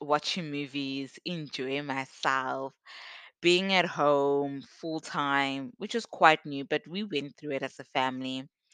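Speaking at a very slow pace, a woman with a very deep, low pitch and ordinary pitch variation has a bright, sharp tone, recorded dry and close with no echo against a quiet background. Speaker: podcast host. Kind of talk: personal story monologue. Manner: casual and conversational.

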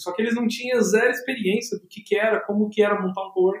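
A man with a high pitch and fairly even intonation talks at a fairly quick pace. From Brazil, São Paulo metro area (São Bernardo do Campo). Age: 20s. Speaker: tech entrepreneur, hackathon organizer. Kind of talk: casual interview.

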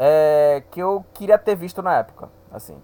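Talking at a fairly slow pace, a man uses a high pitch. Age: 20s. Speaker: football podcaster. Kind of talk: solo podcast monologue. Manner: hesitant, many fillers.

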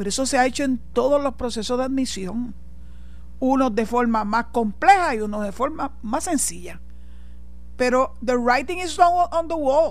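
A woman's high-pitched voice with a Puerto Rican accent, animated in tone with lively intonation, at a fairly slow pace amid audible room echo. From Puerto Rico. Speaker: radio host and lawyer. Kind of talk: radio talk show commentary.

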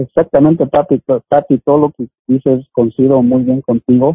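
Fairly even intonation at a moderate pace in a man's medium-pitched voice, a normal speaking voice. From Oaxaca, Mexico. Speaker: community activist. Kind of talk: interview.

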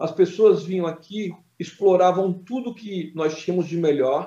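Here a man with a high pitch and a dark, mellow tone uses ordinary pitch variation. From Brazil, Cubatão (São Paulo coast). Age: 50s. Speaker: city councillor. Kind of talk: interview.

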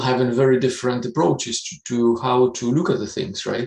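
Speaking at a fairly quick pace, a man with a Russian accent talks at a medium pitch. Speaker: business executive. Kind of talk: interview. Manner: hesitant, many fillers.

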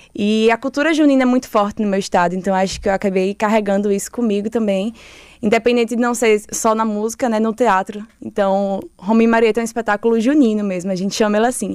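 A woman talks at a very fast pace with a fairly high pitch. The recording is very clean, with a silent background. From Sergipe countryside, Lagarto (Brazilian Northeast). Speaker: theatre director. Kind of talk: interview. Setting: studio.

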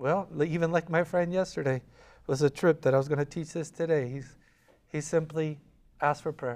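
Fairly even intonation carries speech at a fairly quick pace, captured in a very clean recording against a silent background. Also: man. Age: 40s. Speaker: youth pastor. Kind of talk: sermon. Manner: halting.

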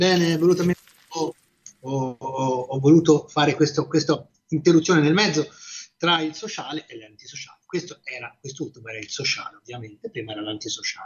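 The pace is moderate. Loudness swings widely throughout. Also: man, fairly high pitch for a man, ordinary pitch variation. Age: 60s. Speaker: radio host. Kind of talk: radio music show presenting. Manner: halting, with frequent fillers and repetitions.

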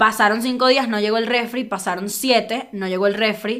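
Animated and bright, a woman talks with a sharp tone at a fairly high pitch. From Venezuela. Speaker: comedian. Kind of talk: casual chat.

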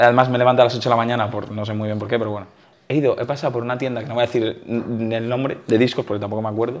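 Noticeable background noise sits behind the speaker. He is a man talking very fast in a flat, monotone way. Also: medium pitch for a man. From Valencia, Spain. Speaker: youtuber interviewer. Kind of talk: casual interview.

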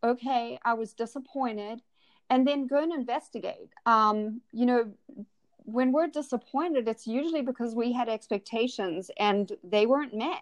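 A woman speaks at a moderate pace and a high pitch. The sound is dry and close, with no echo. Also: ordinary pitch variation. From South Africa. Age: 40s. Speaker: life coach. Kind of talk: interview.

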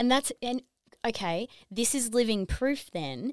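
In a very clean recording with a silent background and a dry, close sound with no echo, a woman with a normal speaking voice talks at a moderate pace with lively intonation. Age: 30s. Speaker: wellness app owner. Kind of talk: casual chat. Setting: studio.

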